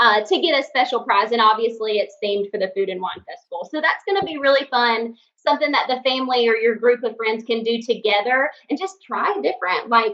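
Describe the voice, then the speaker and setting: With a Southern accent, a woman talks at a fairly quick pace with hardly any pauses, her fairly high voice full of lively intonation. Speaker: podcast co-host. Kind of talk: casual chat.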